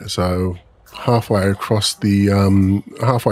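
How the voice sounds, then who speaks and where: Speaking with an Australian accent, a man uses a fairly low pitch and fairly even intonation. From Australia, Melbourne. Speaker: gaming streamer. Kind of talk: casual live-stream chat. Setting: live stream. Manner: halting, many fillers.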